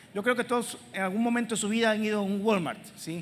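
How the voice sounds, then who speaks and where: A woman talking at a very fast pace. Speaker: preacher. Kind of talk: sermon. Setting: church with congregation.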